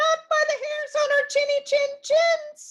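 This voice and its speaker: A woman speaks in a put-on character voice that is squeaky and extremely high pitched. Her pace is fairly slow. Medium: read story. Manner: squealing, panicked.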